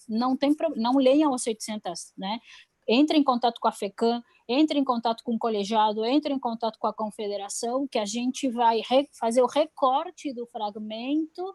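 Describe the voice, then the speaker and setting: A woman's high-pitched voice at a moderate pace, with ordinary pitch variation and a dry, close sound with no echo. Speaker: public health policy adviser. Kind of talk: online webinar talk. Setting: live stream. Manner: hesitant, many fillers.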